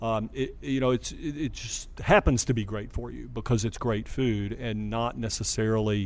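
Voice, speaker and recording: Using an American accent, a man talks at a moderate pace with hardly any pauses. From US South. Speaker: doctor and chef. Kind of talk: casual chat.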